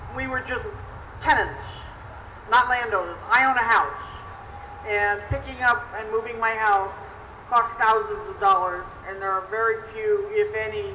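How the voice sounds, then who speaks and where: With an American accent, a woman speaks with long, frequent pauses and big swings in loudness, over noticeable background noise and audible room echo. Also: moderate pace. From New Jersey. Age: 60s. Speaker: retired tenant advocate. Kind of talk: personal testimony.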